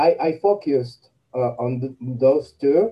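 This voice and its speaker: A man speaks at a medium pitch with a Spanish accent. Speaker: coffee blogger and content writer. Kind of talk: interview. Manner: halting, with many repetitions and fillers.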